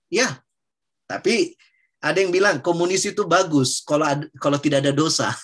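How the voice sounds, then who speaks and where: A man with a Papuan accent speaks at a fairly quick pace in a high voice. His loudness stays very even, and his pitch varies in an ordinary way. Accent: Papuan Indonesian. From Papua, Indonesia. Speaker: preacher. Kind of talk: Bible teaching discussion.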